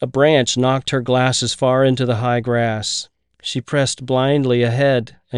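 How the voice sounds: This is a natural reading voice. The background stays quiet.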